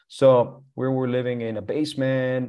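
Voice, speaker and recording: The background stays quiet. Here a man talks with a Spanish accent. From Colombia. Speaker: real estate entrepreneur. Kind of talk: interview. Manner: halting, many fillers and repeats.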